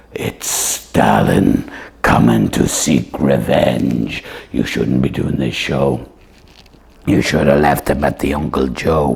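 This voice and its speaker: A man's cartoonish character voice, very deep and low in pitch, at a fairly slow pace. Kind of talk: comedy puppet show.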